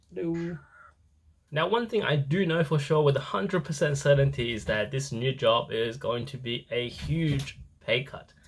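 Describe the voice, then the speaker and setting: Somewhat breathy and fairly high-pitched, a man with a non-native accent talks at a moderate pace. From moved to Australia as a child, born elsewhere. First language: not English. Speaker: travel vlogger, actuary. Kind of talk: vlog.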